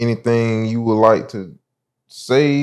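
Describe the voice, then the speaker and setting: Here a man speaks with a Southern US accent. The background is quiet. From South Carolina, Sumter. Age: 20s. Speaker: podcast host. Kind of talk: casual interview.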